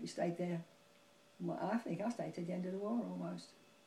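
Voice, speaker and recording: A woman speaks fairly quickly while noticeable background noise fills the recording. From London. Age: 80s+. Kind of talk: interview answer.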